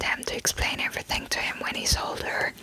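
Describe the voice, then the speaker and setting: Whispering with a German accent amid noticeable background noise. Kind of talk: casual talk to listener. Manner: whispered.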